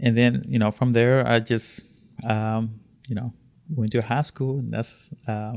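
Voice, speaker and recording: At a fairly slow pace, a man of medium pitch speaks with a Spanish accent and fairly even intonation. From Honduras. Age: 30s. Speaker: immigrant sharing life story. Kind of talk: interview. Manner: halting, many fillers and repetitions.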